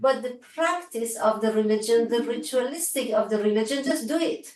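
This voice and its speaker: A woman with an Iranian accent speaks at a high pitch with lively intonation. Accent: Iranian (Persian) accent in English. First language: Farsi. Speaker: researcher and lecturer. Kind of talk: academic Q&A discussion. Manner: halting, with fillers.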